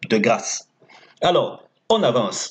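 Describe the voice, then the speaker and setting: A man with a non-native accent. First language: not French (speaking French). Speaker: horse racing tipster. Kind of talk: tips video with sales pitch. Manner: casual, conversational.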